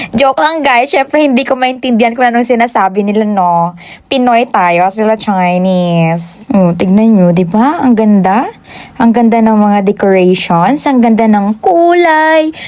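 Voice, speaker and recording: A woman speaks fairly slowly in a Western Visayas accent, her fairly high voice carrying lively intonation at very even loudness. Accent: Ilonggo accent in Tagalog. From Western Visayas, Philippines (Ilonggo). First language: Hiligaynon (speaking Tagalog). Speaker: vlogger. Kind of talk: vlog voice-over. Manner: animated.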